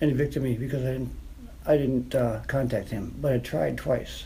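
A man with a dark, mellow tone and vocal fry speaks at a fairly quick pace with audible room echo. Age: 50s. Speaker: formerly homeless veteran. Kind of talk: personal testimony. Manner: halting.

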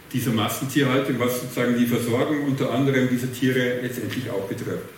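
A man's fairly quick speech carries audible room echo, with noticeable background noise behind it. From Bavaria, rural. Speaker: moderator and social researcher. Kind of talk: panel discussion. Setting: theatre stage with audience.

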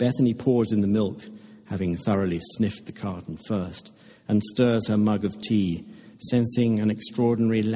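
Fairly even intonation in a natural reading voice

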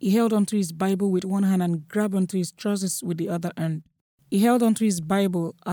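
This is plain reading aloud with fairly even intonation and a quiet background.

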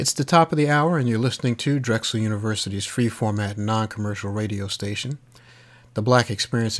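Ordinary pitch variation in a man's voice, an ordinary speaking voice. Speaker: radio host. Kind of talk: radio DJ patter. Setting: remote studio in Texas. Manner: smooth, warm, steady announcer delivery; clear, upbeat, informative, rattling off station info and track credits.

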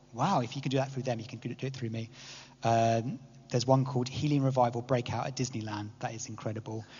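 With an English accent, a man talks at a very fast pace in a medium pitch, his somewhat breathy voice held to a monotone, flat intonation. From England. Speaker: church speaker. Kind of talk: talk to a church group. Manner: hesitant, many fillers.

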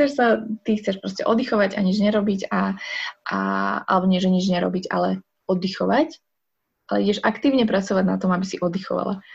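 A woman's medium-pitched voice with vocal fry, ordinary pitch variation and a fairly quick pace. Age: 20s. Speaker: sign language interpreter and psychologist. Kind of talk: casual interview. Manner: halting.

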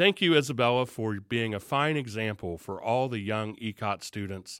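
A man speaks at a moderate pace in a Southern Ohio accent, his pitch fairly low with ordinary variation. The recording is very clean, with a silent background. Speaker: school superintendent and show host. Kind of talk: interview on a video show.

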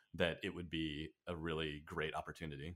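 A man with an American accent and a bright, sharp tone, on a very clean recording with a silent background. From Southern California, Orange County. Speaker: video game writer. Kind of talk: casual chat.

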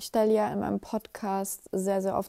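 Speaking at a fairly slow pace, a woman has a medium pitch and a dark, mellow tone, captured with a dry, close sound with no echo. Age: 20s. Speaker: podcast host. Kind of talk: late-night personal monologue. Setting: home at night, alone. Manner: casual, with many fillers.

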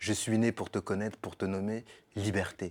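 A man's fairly low, monotone voice with flat intonation at a moderate pace, on a very clean recording over a silent background. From Paris suburbs (Sarcelles), France. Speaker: podcast guest. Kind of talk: casual chat.

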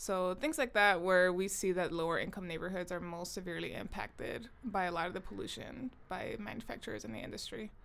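A woman with an American accent, medium pitch, vocal fry and lively intonation, talking at a fairly quick pace with hardly any pauses. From Southern California (Long Beach/Compton). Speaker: podcast co-host, artist. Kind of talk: casual chat.

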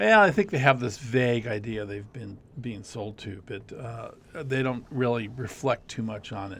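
A man's plain, everyday voice in an American accent, at a moderate pace with medium pitch, ordinary pitch variation and big swings in loudness. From Arizona (Scottsdale). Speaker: university lecturer in communications and digital media. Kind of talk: casual interview.

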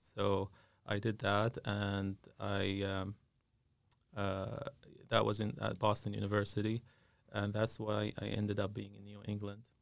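With an Arabic accent, a man speaks at a fairly low pitch and a fairly slow pace in a monotone, flat intonation, leaving long, frequent pauses. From Syria. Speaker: dentist and business owner. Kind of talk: interview. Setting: studio. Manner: halting, many filler sounds.

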